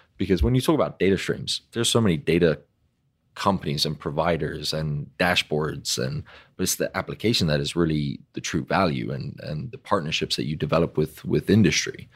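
A man's very deep, low voice with vocal fry, ordinary pitch variation and a fairly quick pace, in a very clean recording with a silent background. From Europe. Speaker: technology company business developer. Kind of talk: casual interview. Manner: halting, repeats words.

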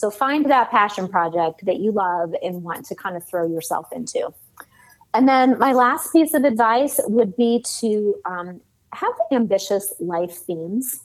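A woman with an American accent speaks at a fairly slow pace, her fairly high pitch carrying lively intonation in an unremarkable speaking voice. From US Midwest, Cleveland, Ohio. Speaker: sales author and consultant. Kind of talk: interview conversation.

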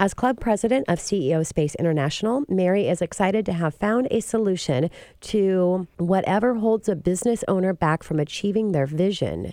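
Quick and nearly pauseless, a woman speaks at a medium pitch in a dark, mellow tone, with ordinary pitch variation and very even loudness. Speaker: radio host, mortgage expert. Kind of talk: radio interview. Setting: radio studio.

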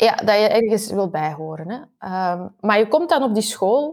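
A woman speaks at a moderate pace. Her voice carries vocal fry. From Belgium, Antwerp. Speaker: university researcher. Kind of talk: interview.

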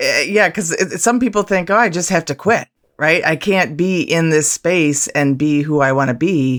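A woman at a moderate pace has an ordinary speaking voice, fairly low in pitch, with lively intonation and very even loudness. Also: very clean recording, silent background. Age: 50s. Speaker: podcast co-host. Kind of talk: podcast interview.

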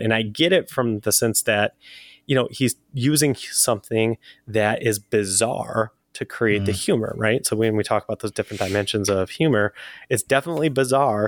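Here is a man with an ordinary speaking voice at a medium pitch. He moves at a fairly quick pace with ordinary pitch variation. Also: dry, close sound with no echo. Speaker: podcast co-host. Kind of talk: casual chat. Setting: remote call.

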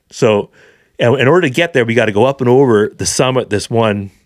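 A man with a Canadian accent and an unremarkable speaking voice, at a fairly quick pace with ordinary pitch variation. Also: very clean recording, silent background. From Vancouver, British Columbia, Canada. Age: 40s. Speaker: hunting educator. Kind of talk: casual chat.

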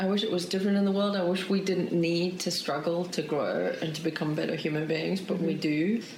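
Amid noticeable background noise and audible room echo, a woman with a fairly low pitch speaks very fast with hardly any pauses and fairly even intonation. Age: 40s. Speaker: documentary filmmaker. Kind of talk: interview.

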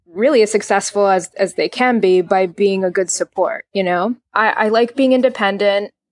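Dry and close with no echo, the recording captures a woman with an American accent using an ordinary speaking voice, fairly high in pitch with ordinary pitch variation. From New Jersey. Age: 30s. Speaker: orthodontist. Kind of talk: interview conversation.

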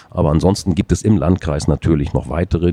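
Noticeable background noise behind a man with a very deep, low pitch. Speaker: adult education manager. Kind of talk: interview. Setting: conference exhibition booth.

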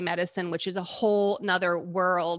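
A woman with an American accent talks at a fairly quick pace in a bright, sharp tone against a quiet background. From Texas. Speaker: midwife. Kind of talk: casual chat.

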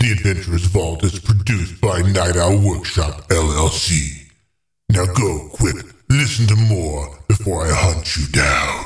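Very deep, low male pitch, delivered at a fairly slow pace. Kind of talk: podcast promo announcement. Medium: actual play. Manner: brisk, wry, mock-threatening at the end.

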